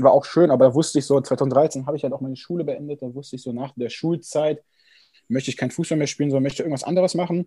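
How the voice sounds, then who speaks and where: A man at a fairly high pitch, somewhat breathy with a dark, mellow tone, very fast with fairly even intonation, in a very clean recording with a silent background. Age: 20s. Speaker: amateur triathlete and sports student. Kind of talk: casual interview.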